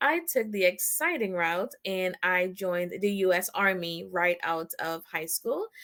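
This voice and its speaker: Speaking at a fairly slow pace, a woman has a slight Trinidadian accent. Her pitch variation is ordinary. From Trinidad and Tobago. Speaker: branding expert and army veteran. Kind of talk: interview. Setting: live online broadcast.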